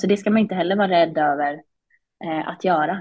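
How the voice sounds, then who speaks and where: A woman speaks at a fairly low pitch in an unremarkable speaking voice. Her intonation is fairly even. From Sweden, Småland (Vimmerby). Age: 20s. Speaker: business executive, former CEO. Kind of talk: casual interview.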